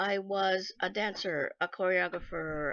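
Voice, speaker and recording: The background is quiet, and the sound is dry and close with no echo. A woman speaks at a medium pitch with vocal fry. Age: 60s. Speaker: translator and former dancer. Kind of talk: self-interview, personal testimony.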